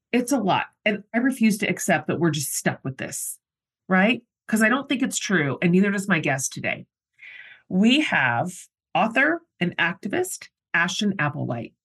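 A woman with an American accent, at a medium pitch and moderate pace, with vocal fry and very wide pitch swings, in a dry, close sound with no echo and a quiet background. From US. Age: 50s. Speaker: podcast host. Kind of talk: casual interview chat; scripted intro.

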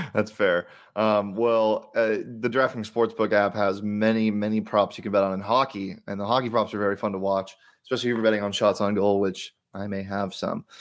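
A man's fairly low, monotone voice at a fairly quick pace, in a very clean recording with a silent background. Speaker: sports betting podcast host. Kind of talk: casual sports betting chat.

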